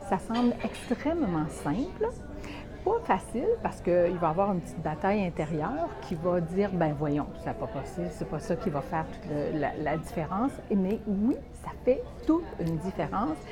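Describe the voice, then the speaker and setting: Over music in the background, a woman with a Quebec accent speaks at a moderate pace. Her voice sits at a medium pitch with lively intonation. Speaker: motivational coach. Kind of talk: motivational vlog talk. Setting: restaurant. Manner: soft-spoken, speaking quietly; hesitant, many fillers.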